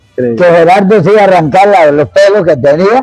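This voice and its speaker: A man speaks in a high pitch. His intonation is lively. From Costa Rica, Guanacaste (Cañas). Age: 70s. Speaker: bullfighting commentator. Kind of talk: interview. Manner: animated.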